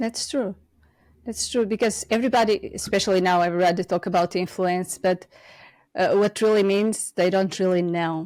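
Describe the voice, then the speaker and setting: On a very clean recording with a silent background, a woman with a Portuguese accent talks at a moderate pace with fairly even intonation. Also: medium pitch for a woman. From Portugal. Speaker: podcast host. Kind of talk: interview conversation.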